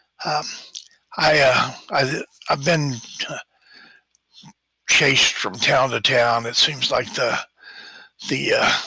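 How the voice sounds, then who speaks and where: Using a put-on character voice, a man at a medium pitch sounds raspy and moves at a fairly slow pace with long, frequent pauses. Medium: actual play. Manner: hesitant, halting, many fillers.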